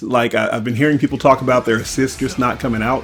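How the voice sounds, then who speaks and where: At medium pitch, a man talks with fairly even intonation. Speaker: gaming youtuber. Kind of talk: casual commentary over gameplay. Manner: fast; hesitant with fillers.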